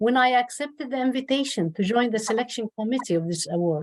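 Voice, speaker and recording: Lively intonation marks the speech of a woman with an Arabic accent. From Jordan. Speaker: professor, award committee member. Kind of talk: ceremony speech.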